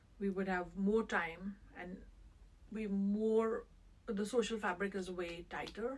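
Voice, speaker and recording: Speaking at a very slow pace, a woman with a medium-pitched voice and fairly even intonation talks in an Indian accent. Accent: Indian English accent, unchanged. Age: 50s. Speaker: interviewee, immigrant mother. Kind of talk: interview.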